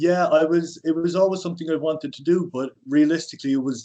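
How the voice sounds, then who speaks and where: In an Irish accent, the speaker goes at a fairly quick pace with ordinary pitch variation and a dark, mellow tone. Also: man. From Ireland. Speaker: personal trainer. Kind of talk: podcast interview.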